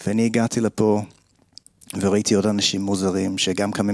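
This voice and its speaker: A man with an English accent, fairly low-pitched, flat and monotone, at a moderate pace. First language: English (speaking Hebrew). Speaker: kabbalah group founder. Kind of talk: personal testimony. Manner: halting.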